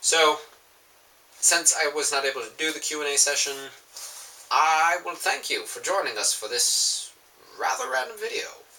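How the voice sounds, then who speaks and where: Moderate pacing from a man, broken by long, frequent pauses, against noticeable background noise. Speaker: fandom vlogger. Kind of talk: casual vlog monologue. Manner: animated.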